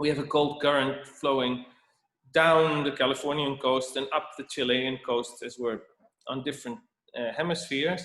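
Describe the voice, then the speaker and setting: With a Dutch accent, a man talks at a moderate pace in a fairly high pitch for a man, keeping his intonation fairly even. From Netherlands. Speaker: winemaker. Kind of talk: presentation. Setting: video call. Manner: halting.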